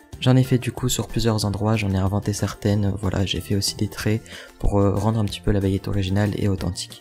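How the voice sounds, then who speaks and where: A man whispers quietly at a fairly quick pace. Music plays in the background. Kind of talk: DIY tutorial voice-over. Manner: whispered, quiet.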